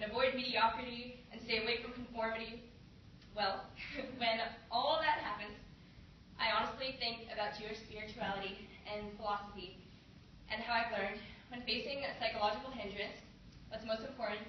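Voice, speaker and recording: Over noticeable background noise, a woman with a fairly high pitch speaks fairly quickly with fairly even intonation and long, frequent pauses. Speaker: college student. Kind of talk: poetry reading.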